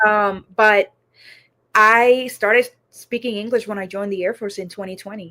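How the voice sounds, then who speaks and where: With a slight Puerto Rican accent, a woman speaks in a bright, sharp tone. Her intonation is monotone and flat, while her loudness swings widely. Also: fairly high pitch for a woman, moderate pace. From Puerto Rico. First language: Spanish. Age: 30s. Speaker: counselor in training. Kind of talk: interview.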